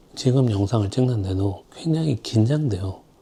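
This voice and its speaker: Lively intonation carries the voice along at a moderate pace amid noticeable background noise. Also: man. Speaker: designer. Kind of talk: casual vlog tips. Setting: filming alone. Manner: speeds up when nervous.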